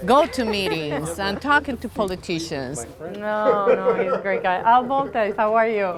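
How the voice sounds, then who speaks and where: Lively intonation comes through noticeable background noise. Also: woman, fairly high pitch for a woman, moderate pace. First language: Spanish. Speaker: skatepark advocate and mother. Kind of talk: documentary interview. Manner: halting.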